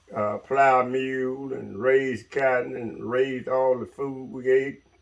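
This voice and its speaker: A man's medium-pitched voice with a Mississippi accent, at a very slow pace. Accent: Southern US (Mississippi). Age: 70s. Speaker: retired logger. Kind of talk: interview storytelling.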